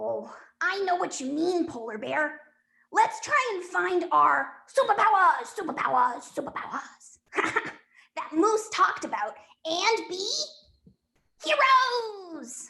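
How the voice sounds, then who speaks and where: A cartoonish character voice at an extremely high pitch, swinging very widely up and down. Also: fairly slow pace. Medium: puppet. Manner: warm, reassuring.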